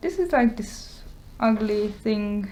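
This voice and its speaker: With a Hungarian accent, a woman talks at a very slow pace in a fairly high pitch. Her tone is dark and mellow, and somewhat breathy. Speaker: YouTuber and artist. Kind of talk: show-and-tell tutorial. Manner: casual, hesitant with many fillers.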